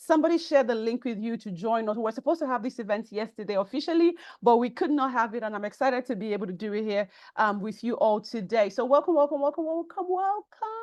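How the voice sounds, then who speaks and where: A woman with a Nigerian accent talks at a very fast pace in an animated tone, her fairly high pitch rising and falling in lively intonation against a quiet background. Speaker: personal branding coach. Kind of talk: online workshop webinar. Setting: online call, audio only.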